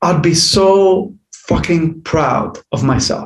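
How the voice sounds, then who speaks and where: With an Arabic accent, a man speaks at a high pitch with ordinary pitch variation, and room echo is audible. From Jordan. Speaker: life coach. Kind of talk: podcast interview. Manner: halting.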